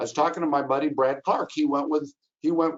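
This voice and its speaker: Lively intonation marks this man's speech. His pitch sits fairly high. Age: 60s. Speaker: travel agent. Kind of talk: webinar presentation. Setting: webinar. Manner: animated.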